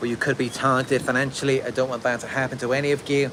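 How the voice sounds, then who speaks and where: Over noticeable background noise, a man with a British accent and medium pitch speaks at a fairly quick pace in a monotone, flat intonation. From UK. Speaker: narcissistic abuse survivor coach, video creator. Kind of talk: livestream monologue answering chat. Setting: outdoors in a park under a tree, livestream.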